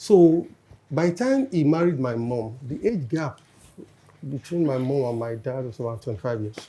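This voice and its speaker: A man speaks at a medium pitch in a dark, mellow tone that is somewhat breathy. His pace is moderate, with ordinary pitch variation. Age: 60s. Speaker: panel guest. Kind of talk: casual chat.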